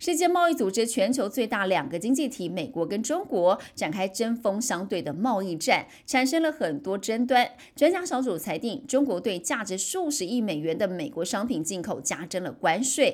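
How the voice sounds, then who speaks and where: A woman with a Taiwanese accent talks at a moderate pace with hardly any pauses, her fairly high voice making very wide pitch swings, on a very clean recording with a silent background. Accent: Taiwanese Mandarin. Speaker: news anchor. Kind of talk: news reading. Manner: formal.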